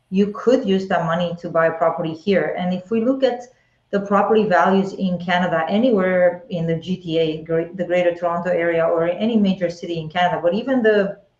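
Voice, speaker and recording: A woman with an Eastern European accent, fairly low in pitch, at a fairly quick pace, with ordinary pitch variation. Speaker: real estate agent. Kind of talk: live webinar conversation.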